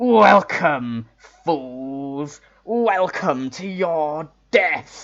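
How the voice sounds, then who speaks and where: A put-on character voice booms out, loud and at a middle pitch. The delivery is very slow. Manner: menacing, taunting.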